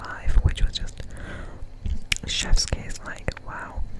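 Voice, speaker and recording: A man whispers at a fairly slow pace, with noticeable background noise behind him. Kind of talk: ASMR up-close whispers, casual talk to camera.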